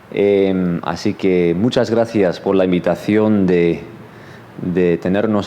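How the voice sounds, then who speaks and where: A man talks at a very slow pace in a very deep, low pitch, with ordinary pitch variation. Noticeable background noise is present. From Los Angeles, US. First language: English (speaking Spanish). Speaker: seminary professor. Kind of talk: sermon. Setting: church. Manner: hesitant, many fillers.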